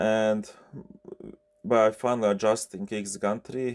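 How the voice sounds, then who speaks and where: A man with a Bosnian accent speaks in a fairly low pitch. The sound is dry and close with no echo, on a very clean recording with a silent background. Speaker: 3D printer repair technician. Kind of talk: tutorial. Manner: halting, many fillers.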